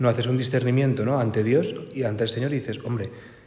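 A man at a very fast pace, in monotone, flat intonation, with audible room echo. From Spain, Cantabria (Santander). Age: 20s. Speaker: priest. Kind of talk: talk to a parish group.

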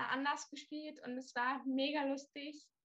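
Her intonation flat and monotone, a woman talks at a very slow pace in a high pitch. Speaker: volunteer. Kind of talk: casual chat.

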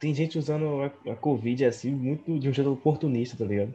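A man speaks with a dark, mellow tone and a somewhat breathy quality. His pitch sits fairly high for a man. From Northeast Brazil. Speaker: podcast co-host. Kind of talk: casual chat.

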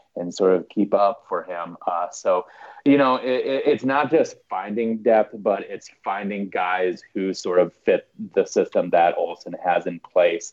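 This man speaks with an Upper Midwest accent. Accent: Upper Midwest American. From South Dakota, US. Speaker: soccer fan commentator. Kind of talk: casual chat.

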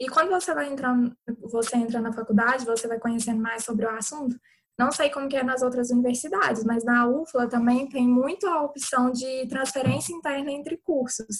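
This woman has a high pitch and ordinary pitch variation, speaking at a fairly quick pace. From Minas Gerais, Brazil. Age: 20s. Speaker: medical student. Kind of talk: online panel Q&A.

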